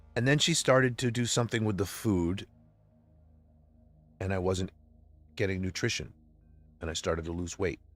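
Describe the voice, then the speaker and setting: With music in the background, a man speaks at a moderate pace and fairly low pitch, using ordinary pitch variation and long, frequent pauses. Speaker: religious livestreamer. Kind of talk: emotional personal monologue. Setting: livestream. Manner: loud.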